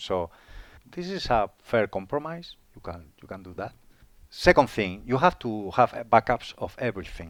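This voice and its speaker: Against a quiet background, a man speaks with a Spanish accent in a dry, close sound with no echo. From Spain. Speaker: IT manager. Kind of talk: interview. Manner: halting, frequent repetitions.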